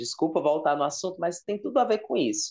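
Man with a high pitch and lively intonation against a quiet background. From Ceará, Brazil (Fortaleza); Ceará, Brazil. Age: 30s. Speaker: content creator on sitcom trivia; podcast guest. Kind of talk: casual interview chat. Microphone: earbuds.

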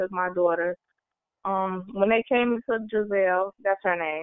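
A woman with an American accent speaks in an unremarkable speaking voice at medium pitch, her intonation fairly even. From Chicago, Illinois. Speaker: youth council member, formerly homeless young mother. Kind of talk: personal testimony. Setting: online webinar.

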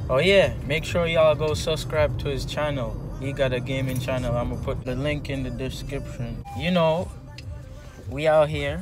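A man speaks with lively intonation in a dry sound with no echo, over noticeable background noise. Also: moderate pace. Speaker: vlogger driving. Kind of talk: casual vlog chat. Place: car. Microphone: phone near.

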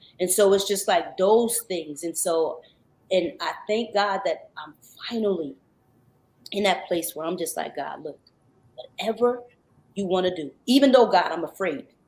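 Long, frequent pauses break up a woman's speech at a moderate pace. Her loudness swings widely, while her pitch varies in an ordinary way. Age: 40s. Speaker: R&B singer; guest. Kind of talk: radio interview. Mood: earnest, testimonial, faith-driven. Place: home room.

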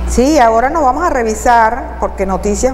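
Light background noise can be heard. The pace is moderate. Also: woman. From Venezuela. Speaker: TV talk show host; TV program host. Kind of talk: news reading and interview. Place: studio. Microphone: lapel.

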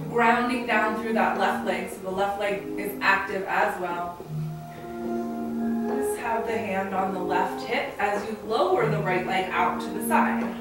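A woman talks at a fairly slow pace over loud background music. Her voice carries audible room echo. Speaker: yoga teacher. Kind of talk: tutorial. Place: home room. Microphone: camera far.

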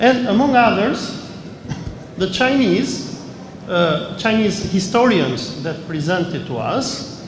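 Over noticeable background noise, a man speaks very slowly in a high pitch, his intonation lively. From Albania. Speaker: historian and journalist; journalist. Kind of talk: interview testimony. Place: hall.

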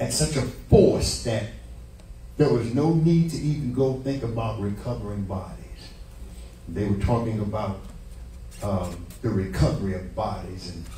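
With long, frequent pauses, a man speaks at a fairly low pitch in a dark, mellow tone with vocal fry and very wide pitch swings, amid audible room echo and light background noise. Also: moderate pace. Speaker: preacher. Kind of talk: sermon. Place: church.

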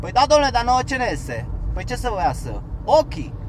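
This man's voice has noticeable background noise behind it. The sound is dry, with no echo. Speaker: vlogger, former van driver; van driver vlogger giving advice. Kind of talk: casual vlog talk while driving. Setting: in a car. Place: car. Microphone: camera far.

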